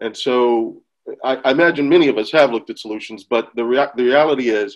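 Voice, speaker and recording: Speaking at a very fast pace with an American accent, a man shows ordinary pitch variation. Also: medium pitch for a man. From United States. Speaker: agribusiness governance advisor. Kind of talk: webinar presentation.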